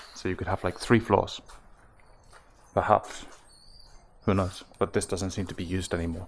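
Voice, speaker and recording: Very deep and low in pitch, a man speaks in a monotone, flat intonation. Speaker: travel vlogger. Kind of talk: travel vlog. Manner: quiet; halting.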